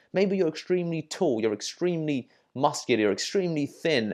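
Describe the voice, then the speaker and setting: With an English accent, this voice has a dark, mellow tone and lively intonation, moving at a moderate pace over a quiet background. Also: man. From England. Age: 30s. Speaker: dating coach. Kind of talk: tutorial. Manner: casual, filler-heavy.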